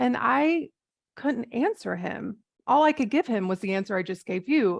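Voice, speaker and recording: A woman with an American accent speaks at a fairly high pitch, with very wide pitch swings and vocal fry. The sound is dry and close, with no echo. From US South. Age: 40s. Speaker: life coach, former nurse. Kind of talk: interview.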